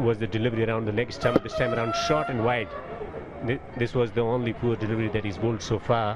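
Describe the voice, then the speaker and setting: Speaking at a very fast pace, a man sounds enthusiastic at medium pitch. Noticeable background noise is present. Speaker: cricket commentator. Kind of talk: live cricket commentary, analytical. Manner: fluent, polished, measured yet enthusiastic.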